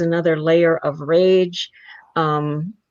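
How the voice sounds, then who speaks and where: A woman's fairly low-pitched voice, a normal speaking voice, with fairly even intonation. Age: 60s. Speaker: adoptee advocate. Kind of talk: interview.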